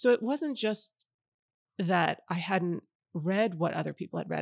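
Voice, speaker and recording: A woman's medium-pitched voice, a normal speaking voice, with ordinary pitch variation, a dry, close sound with no echo, and a very clean recording over a silent background. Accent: American. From New York City suburbs. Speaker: novelist. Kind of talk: interview. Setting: bookstore.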